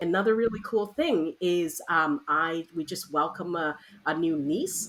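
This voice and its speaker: A woman's bright, sharp voice at medium pitch swings very widely in pitch. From Hong Kong. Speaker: educator and consultant. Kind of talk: interview. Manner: halting.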